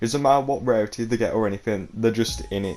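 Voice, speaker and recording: A man is speaking. Music plays in the background. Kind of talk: gaming tips talk to camera. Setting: low-quality home mic. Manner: casual.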